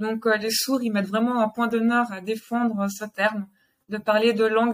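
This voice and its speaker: Her intonation monotone and flat, a woman speaks in a fairly high pitch at a moderate pace. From Geneva, Switzerland. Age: 30s. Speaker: sign language teacher and family centre owner. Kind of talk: interview.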